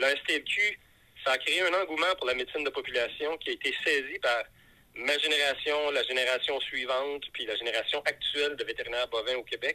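The recording of this man is dry and close, with no echo. He talks at a fairly quick pace. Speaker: veterinarian. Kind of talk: phone call.

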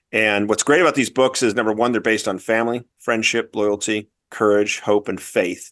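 A man with a fairly low pitch speaks fairly quickly, his intonation fairly even. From Southern California. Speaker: author and education entrepreneur. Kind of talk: interview.

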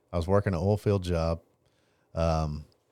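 A man with an East Texas accent speaks at a fairly slow pace in a very deep, low, dark and mellow voice with monotone, flat intonation. The recording is very clean, with a silent background. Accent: East Texas Southern US. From Texas, Longview (East Texas). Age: 30s. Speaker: painting business owner. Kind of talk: testimony.

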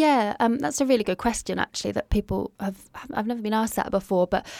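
In an English accent, a woman talks fairly quickly at a fairly high pitch with lively intonation and a dark, mellow tone. The sound is dry and close with no echo, on a very clean recording with a silent background. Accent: English accent noticeable in Australia. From UK. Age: 30s. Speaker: artist and art therapist. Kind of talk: interview, personal testimony. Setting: small home podcast studio in a shower cubicle.

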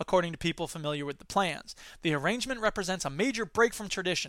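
A man's raised, projected voice in an American accent, high-pitched, bright and sharp, animated, with lively intonation at a very fast pace, in a very clean recording with a silent background. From US Midwest. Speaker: podcast host and educator. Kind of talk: solo monologue podcast. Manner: fast talker; loud, animated.

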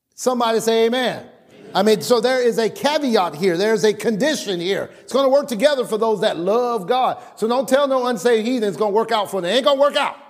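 Speaking at a very fast pace, a man with an extremely high pitch uses an animated tone and ordinary pitch variation. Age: 40s. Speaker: pastor. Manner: emphatic, rhythmic preaching cadence with repeated refrains; loud, animated, calling for congregation responses.

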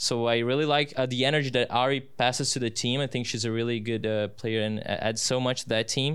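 A man with a Portuguese accent talks at a fairly quick pace with hardly any pauses, keeping a medium pitch, very even loudness and monotone, flat intonation. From Brazil. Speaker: student sports announcer. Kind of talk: casual interview. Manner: halting.

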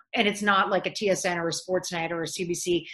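Over noticeable background noise, a woman with an American accent talks at a medium pitch with fairly even intonation. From Canada. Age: 50s. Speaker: sports broadcaster. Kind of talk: casual interview. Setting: video call.

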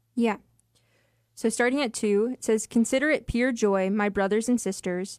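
In a very clean recording with a silent background, a woman speaks in a normal speaking voice at a moderate pace, with a fairly high pitch and fairly even intonation. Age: 20s. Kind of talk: Bible study discussion, scripture reading. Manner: casual, uses 'like'.

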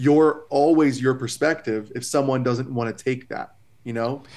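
Moderate pace and ordinary pitch variation from a man's medium-pitched voice, an ordinary speaking voice. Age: 30s. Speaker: therapist. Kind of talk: casual chat.

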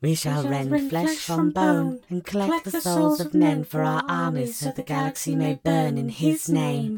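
A put-on character voice, low-to-middle in pitch, at a moderate pace with hardly any pauses. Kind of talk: grimdark horror reading. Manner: menacing, cruel, gleeful.

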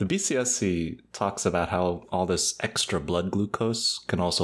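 Here a man speaks with a very deep, low pitch. His pitch varies in an ordinary way. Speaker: ophthalmology podcast co-host. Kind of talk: educational podcast discussion.

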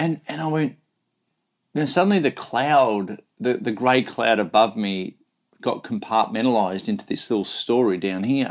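A man with an Australian accent talks at a fairly slow pace. The recording is very clean, with a silent background. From rural Australia. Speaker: motivational speaker and coach. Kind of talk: interview conversation.

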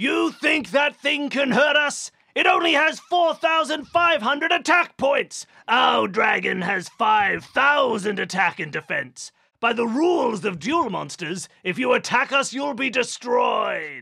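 Shouting in a cartoonish character voice, the speaker goes at a fairly slow pace with a fairly high pitch. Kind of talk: cartoon villain acting. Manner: gloating, menacing.

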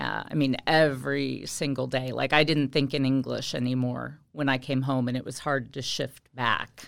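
A woman with an American accent, very deep and low in pitch, with vocal fry and hardly any pauses, on a very clean recording with a silent background. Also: fairly even intonation, moderate pace. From Indiana, US Midwest. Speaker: high school Spanish teacher. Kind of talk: casual interview. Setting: school podcast.

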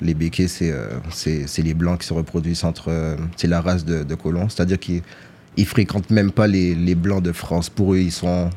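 A man's voice, very deep and low in pitch, moves along at a moderate pace. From Guadeloupe, Pointe-à-Pitre. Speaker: rapper. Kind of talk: casual interview. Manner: soft-spoken. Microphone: too quiet.

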